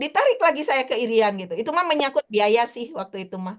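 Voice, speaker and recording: Lively intonation in a high-pitched woman's voice. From Indonesia, West Java (Bandung), high school in Ambon. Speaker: teacher and poet. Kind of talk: interview. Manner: casual, hesitant with fillers.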